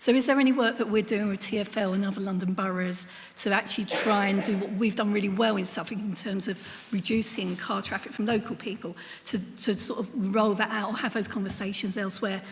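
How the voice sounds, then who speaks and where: Fairly quick speech from a woman at medium pitch with fairly even intonation, over noticeable background noise and audible room echo. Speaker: council cabinet member. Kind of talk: council meeting question.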